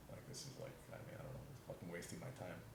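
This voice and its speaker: A man with an American accent speaks at a very fast pace, with audible room echo and noticeable background noise. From New York City. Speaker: podcast guest, trained actor. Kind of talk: casual interview chat. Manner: halting, many restarts.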